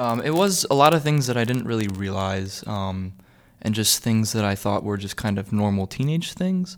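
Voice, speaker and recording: A man speaks at a moderate pace in a plain, everyday voice. His pitch sits fairly low, with lively intonation. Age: young. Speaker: college student. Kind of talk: personal testimony.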